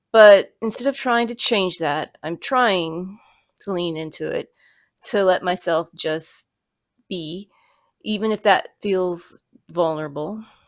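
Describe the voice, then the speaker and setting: In a very clean recording with a silent background, a quiet woman speaks at a very slow pace, with long, frequent pauses and ordinary pitch variation. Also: medium pitch for a woman. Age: 50s. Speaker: YouTuber, parkour practitioner. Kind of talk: personal vlog reflection. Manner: quiet, low-key; hesitant, some repetitions.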